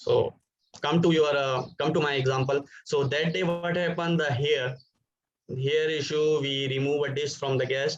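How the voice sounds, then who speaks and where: The man's voice is somewhat breathy and fairly high-pitched, delivered in a monotone, flat intonation. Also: moderate pace. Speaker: hospitality professional. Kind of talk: webinar talk. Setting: video call.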